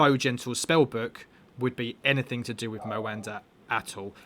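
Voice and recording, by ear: A man speaks at a moderate pace with a fairly bright tone. His pitch is medium and his intonation fairly even.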